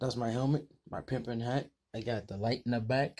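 Speaking at a fairly quick clip, this man sounds somewhat breathy. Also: quiet background. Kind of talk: casual vlog chat. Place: garage. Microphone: phone near.

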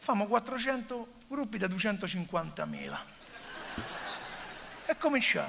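A man speaks in a raised, projected voice with a Roman accent. His pace is moderate. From Rome. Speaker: comedian. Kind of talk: stand-up comedy monologue. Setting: theatre stage. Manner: sarcastic. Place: stage. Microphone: headset.

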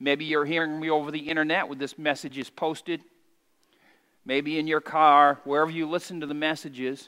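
Over a quiet background, a man talks at a fairly quick pace with a fairly high pitch, a bright, sharp tone and a monotone, flat intonation. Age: 50s. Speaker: pastor. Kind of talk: sermon. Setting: church. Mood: warm, lightly humorous. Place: church. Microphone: headset.

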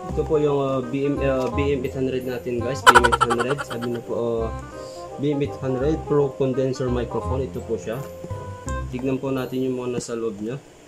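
A man at a fairly slow pace with ordinary pitch variation, against loud music in the background. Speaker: product reviewer. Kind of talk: casual unboxing vlog. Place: home room. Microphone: phone near.

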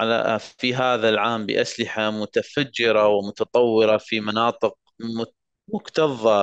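Against a quiet background, a man speaks at a very slow pace, with a dry, close sound and no echo. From Iraq, Mosul. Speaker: war survivor and law graduate. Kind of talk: personal testimony speech.

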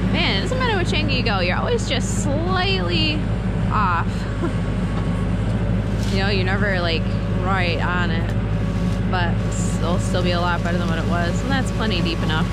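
A woman at a moderate pace with long, frequent pauses, the sound dry with no echo, over loud background noise. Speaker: farm vlogger. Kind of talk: casual vlog chat. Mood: relaxed, slightly nervous. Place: farm machine. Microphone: phone near.

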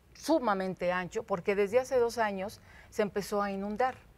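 A woman speaks at a fairly high pitch. Her pace is moderate, with ordinary pitch variation. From Mexico City, Iztapalapa; Mexico City. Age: 50s. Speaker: local politician. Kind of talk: studio interview. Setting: TV studio with audience. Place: studio. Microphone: lapel.

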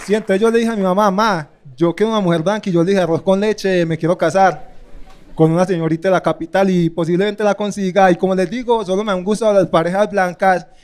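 A high-pitched man with a Medellín accent, animated tone and very fast pace. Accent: paisa (Medellín) Colombian. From Medellín, Colombia. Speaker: stand-up comedian. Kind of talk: stand-up comedy set, roast target, dark humor about race. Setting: stage with audience. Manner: animated, rapid-fire punchlines with pauses for laughs. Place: stage. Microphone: handheld.

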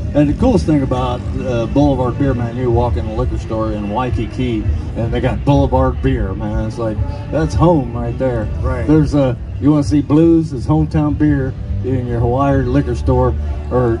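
Over clear music in the background, a man speaks at a very deep, low pitch. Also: moderate pace. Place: stage.

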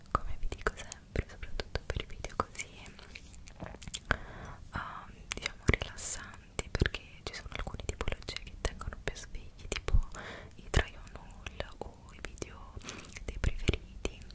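A soft-spoken woman whispering at a fairly slow pace, with long, frequent pauses. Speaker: ASMR creator. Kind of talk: soft ASMR chat, whispery. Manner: soft close-mic ASMR whisper. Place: home room. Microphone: studio mic.

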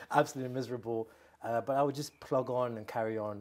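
This is a plain, everyday voice from a man. His intonation stays fairly even. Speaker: interviewee. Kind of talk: interview answer. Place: studio. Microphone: lapel.

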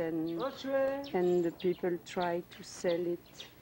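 A woman talks at a very slow pace, and background noise is noticeable. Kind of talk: interview answer. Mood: earnest, caring. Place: garden.

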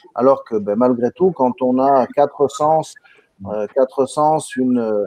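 A man at a very slow pace, the sound dry with no echo and the background quiet. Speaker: webinar moderator. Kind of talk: live online webinar. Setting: video call. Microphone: video call.

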